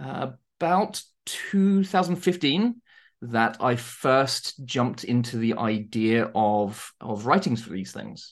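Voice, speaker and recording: Against a quiet background, a medium-pitched man with a southern English accent speaks at a very slow pace. His pitch swings very widely and his loudness shifts a lot. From southern England, Surrey. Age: 30s. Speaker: tabletop game writer. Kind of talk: interview. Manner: halting.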